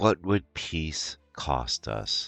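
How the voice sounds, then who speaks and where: A man speaks in a put-on character voice while faint music plays behind him. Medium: read story. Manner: stiff, terse.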